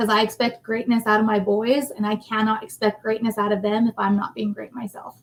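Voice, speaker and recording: Speaking at a fairly quick pace, the woman has a fairly high pitch. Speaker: facilities manager. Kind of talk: casual interview. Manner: loud.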